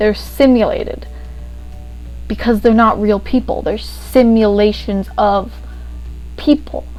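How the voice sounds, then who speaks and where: A woman speaks at a fairly slow pace with long, frequent pauses while music plays in the background. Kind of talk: casual video essay talk to camera. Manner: rambling, casual.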